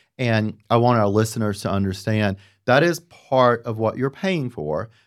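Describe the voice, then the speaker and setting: Over a very clean recording with a silent background, a man with a Southern US accent talks at a fairly slow pace and a medium pitch. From US South. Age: 50s. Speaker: podcast host, designer. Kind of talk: casual interview. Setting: studio.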